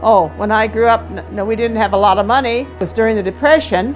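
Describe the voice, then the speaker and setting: Music plays in the background as someone talks at a fairly quick pace with an Upper Midwest accent. The pitch varies in an ordinary way. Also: woman. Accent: Upper Midwest American. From Wisconsin. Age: 80s+. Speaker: insurance phone caller. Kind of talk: interview answer.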